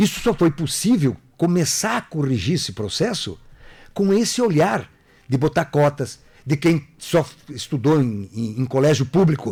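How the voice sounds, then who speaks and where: This very clean recording with a silent background features a man with a fairly high pitch and a somewhat breathy voice. He speaks at a fairly slow pace, his pitch swinging very widely. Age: 60s. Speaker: political candidate. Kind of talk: radio interview.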